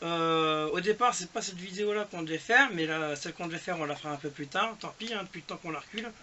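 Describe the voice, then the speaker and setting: A man's voice with lively intonation. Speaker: retro gaming youtuber. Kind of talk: casual chat. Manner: hesitant.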